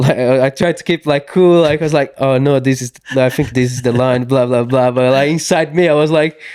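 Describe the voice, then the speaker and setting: A man with a Portuguese accent speaks at medium pitch with fairly even intonation in a very clean recording with a silent background. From southern Brazil, Santa Catarina. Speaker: mountain bike racer. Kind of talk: casual interview chat. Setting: small studio at race venue. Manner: halting, many fillers and restarts.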